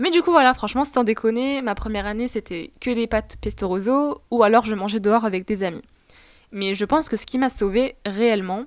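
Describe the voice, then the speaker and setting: Her pitch sits fairly high, with ordinary pitch variation. The woman keeps a moderate pace. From Tunisia. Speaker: podcast host. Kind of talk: casual personal monologue. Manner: casual.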